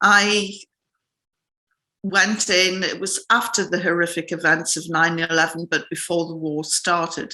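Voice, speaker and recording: Speaking in a northern English accent, this voice has a bright, sharp tone and fairly even intonation at a fairly slow pace. The background is quiet. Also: woman. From northern England. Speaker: journalist. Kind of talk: interview.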